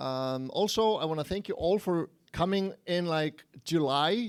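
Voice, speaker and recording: A man speaks with an Icelandic accent and lively intonation. The recording is very clean, with a silent background. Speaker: game programmer and engine evangelist. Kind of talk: conference talk. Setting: stage with audience, livestreamed. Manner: casual, conversational.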